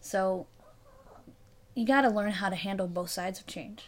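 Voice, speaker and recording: In a very clean recording with a silent background, an unremarkable speaking voice moves at a fairly quick pace. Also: woman. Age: 20s. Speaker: solo podcaster. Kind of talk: casual monologue.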